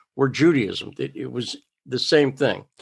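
A man with an American accent and a normal speaking voice, fairly high in pitch and fairly slow in pace, on a very clean recording with a silent background. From Massachusetts, US. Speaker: reporter. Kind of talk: interview conversation.

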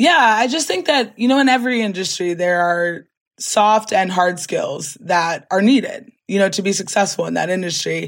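Speaking at a moderate pace with hardly any pauses, a medium-pitched woman with an American accent keeps her intonation lively. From Maryland Eastern Shore, Chestertown. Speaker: oyster farmer and nonprofit founder. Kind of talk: interview.

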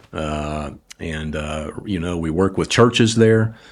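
A man speaks with a Southern US accent and ordinary pitch variation. The recording is very clean, with a silent background. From US South, New Orleans. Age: 70s. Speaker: ministry communications executive. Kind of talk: faith-based interview.

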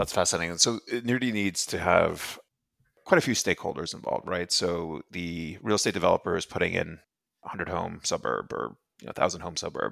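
On a very clean recording with a silent background and a dry, close sound with no echo, a man with a very deep, low pitch and vocal fry speaks at a fairly quick pace with lively intonation. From Ireland, raised mostly in Europe. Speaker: podcast host. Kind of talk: interview.

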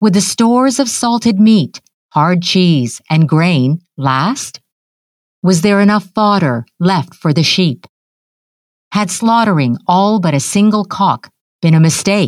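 A woman speaks very slowly in a soothing tone at a medium pitch, her loudness very even and the sound dry and close with no echo. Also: lively intonation. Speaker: audiobook narrator. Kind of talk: literary audiobook reading, narrating a novel excerpt in a calm storytelling tone. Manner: measured, soothing, evenly paced, expressive in descriptive passages.

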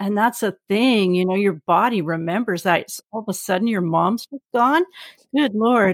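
A woman with a Canadian accent and an ordinary speaking voice, medium in pitch, at a moderate pace with ordinary pitch variation, in a very clean, dry, close recording with a silent background and no echo. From Vancouver, Canada. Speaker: psychotherapist and podcast host. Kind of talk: podcast intro and outro; casual interview.

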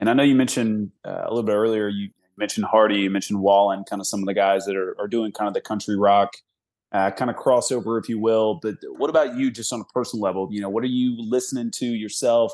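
Speaking at a very fast pace, a man with a fairly low pitch is heard over a quiet background. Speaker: podcast co-host. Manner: halting, filler words.

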